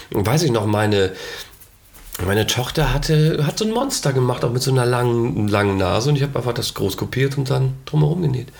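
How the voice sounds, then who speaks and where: Amid noticeable background noise and audible room echo, a man talks at a fairly quick pace with very even loudness and ordinary pitch variation. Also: medium pitch for a man. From East Frisia, northern Germany. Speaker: actor and author. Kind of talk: casual chat. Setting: producer's home.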